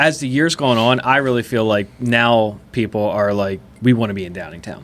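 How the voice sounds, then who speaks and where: At a moderate pace, a man with an ordinary speaking voice talks in a medium pitch with ordinary pitch variation and big swings in loudness. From Chester County, Pennsylvania, US. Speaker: podcast host. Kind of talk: casual interview chat.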